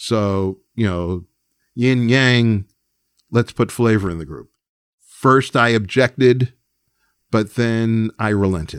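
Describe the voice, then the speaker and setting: Speaking very slowly with long, frequent pauses, a man with an American accent uses a medium pitch and ordinary pitch variation. The recording is very clean and silent in the background, with a dry, close sound and no echo. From New York, Long Island. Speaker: record executive and music producer. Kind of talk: casual interview.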